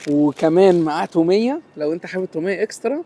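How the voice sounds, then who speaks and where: The pace is fairly quick, with ordinary pitch variation. The sound is dry and close with no echo, though noticeable background noise is present. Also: man. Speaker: food reviewer. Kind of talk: food review vlog. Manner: speaking softly, lowered voice.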